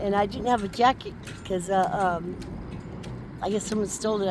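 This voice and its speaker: A woman with an American accent at a very fast pace, over noticeable background noise. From California, Barstow area. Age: 60s. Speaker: homeless woman. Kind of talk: street interview.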